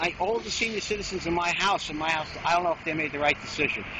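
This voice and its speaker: High-pitched, a man talks with a New York accent and ordinary pitch variation. Noticeable background noise sits behind him. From New York City, Queens. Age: 60s. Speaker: storm victim. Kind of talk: street interview.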